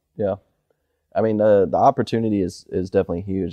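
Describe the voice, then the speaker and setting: Fairly low in pitch and with fairly even intonation, a man's voice races along very fast. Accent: American. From Michigan. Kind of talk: casual interview. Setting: barn on a farm.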